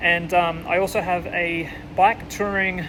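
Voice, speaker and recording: Music plays in the background as a man speaks in an Australian accent. His pitch is high and his tone relaxed. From Australia, near Melbourne. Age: 20s. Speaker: bikepacking vlogger. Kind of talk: casual vlog intro and promo. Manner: relaxed, hesitant with fillers.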